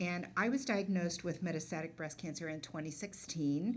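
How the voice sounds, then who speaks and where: A woman's fairly low voice at a moderate pace, with audible room echo. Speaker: patient advocate. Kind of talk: role-play reading a script. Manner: loud.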